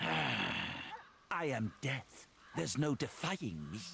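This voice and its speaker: A man puts on a growling character voice at a medium pitch, with very wide pitch swings and a very slow pace. Clear background noise is heard. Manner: snarling, menacing.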